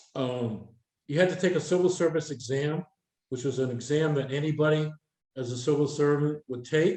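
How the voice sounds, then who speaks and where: A man speaks at a fairly quick pace in a New Hampshire accent. His voice sits fairly high, with ordinary pitch variation. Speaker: retired air traffic controller, speaker. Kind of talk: workshop Q&A talk.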